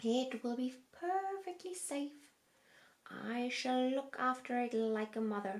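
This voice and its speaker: A woman's put-on character voice, high-pitched, at a fairly slow pace. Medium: read story. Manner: stern, commanding.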